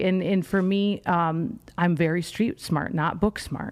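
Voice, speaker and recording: Her tone is animated. The woman speaks at a fairly slow pace. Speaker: personal branding coach. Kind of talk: podcast interview.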